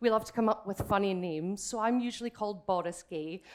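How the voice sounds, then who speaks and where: A woman with a Scottish accent, fairly high in pitch, animated in tone and lively in intonation. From Scotland. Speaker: drag king comedian. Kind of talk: stand-up. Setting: stage with audience.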